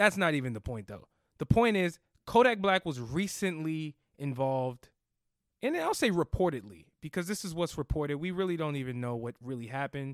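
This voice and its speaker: On a very clean recording with a silent background, a man with an American accent talks in an animated tone at a fairly quick pace and a fairly high pitch. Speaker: podcast co-host. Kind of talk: casual chat.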